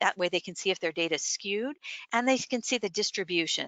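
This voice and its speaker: A woman speaks at a medium pitch. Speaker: workshop presenter. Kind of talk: presentation. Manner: fast; hesitant, many fillers.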